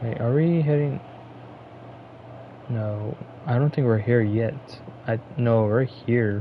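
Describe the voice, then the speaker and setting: The speech moves at a very slow pace with long, frequent pauses. Noticeable background noise can be heard. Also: man, medium pitch for a man, ordinary pitch variation. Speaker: gaming streamer. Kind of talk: gameplay commentary. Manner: casual; low volume.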